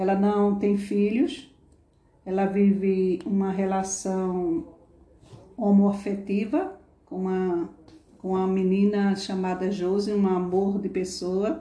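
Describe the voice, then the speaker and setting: Against noticeable background noise, a woman speaks very slowly at a medium pitch, with fairly even intonation and long, frequent pauses. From Northeast Brazil (Paraíba, Pernambuco). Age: 50s. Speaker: former nursing assistant. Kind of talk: interview.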